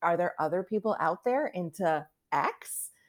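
An ordinary speaking voice from a woman, medium-pitched and fairly slow, in a very clean recording with a silent background. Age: 50s. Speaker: author. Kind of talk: interview.

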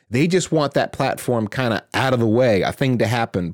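A man talks at a fairly quick pace with a medium pitch and ordinary pitch variation in a dry, close sound with no echo. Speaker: podcast co-host. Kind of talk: casual podcast discussion. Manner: informal, hesitant, repeats words.

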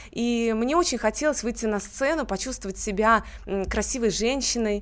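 A normal speaking voice at a moderate pace. Its pitch variation is ordinary. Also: woman. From Russia, Tver region (Kimry). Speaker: beauty pageant winner. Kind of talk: radio interview. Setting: studio.

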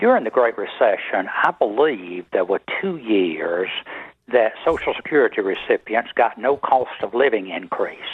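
A man speaks in a Southern US accent. His pace is fairly slow. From South Carolina. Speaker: radio caller, tax preparer. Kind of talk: phone-in comment. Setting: phone call.

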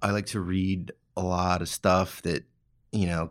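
A very deep, low male voice with an American accent, in a very clean recording with a silent background. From California. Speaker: knife maker and former chef. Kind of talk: interview. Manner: casual, hesitant with fillers.

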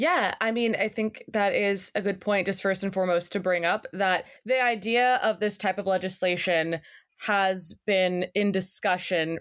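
A woman speaks at a fairly slow pace with an American accent in a plain, everyday voice, her pitch medium, her intonation fairly even, her loudness very even, with hardly any pauses in a very clean recording over a silent background. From Texas, Seguin. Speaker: journalist and podcast producer. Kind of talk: interview.

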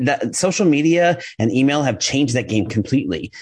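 Energetic in tone, a man with a fairly high pitch and vocal fry speaks with lively intonation. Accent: American. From New York. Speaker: copywriter and email marketing specialist. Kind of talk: podcast interview. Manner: fast.

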